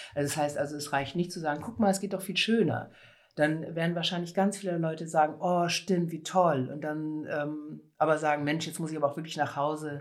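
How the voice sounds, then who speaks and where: Intonation stays fairly even and the pace fairly quick in a very clean recording with a silent background. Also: woman, very deep, low pitch for a woman. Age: 50s. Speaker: conference interpreter and cycling activist. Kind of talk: interview.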